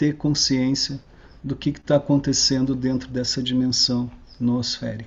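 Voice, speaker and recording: Somewhat breathy and at medium pitch, a man talks at a fairly slow pace in a monotone, flat intonation. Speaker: researcher giving a talk. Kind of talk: online lecture. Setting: online video talk.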